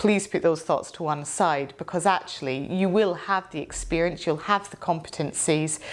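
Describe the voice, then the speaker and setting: A woman talks with a Scottish accent. Her pitch is fairly low. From Scotland. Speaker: barrister. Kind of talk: interview.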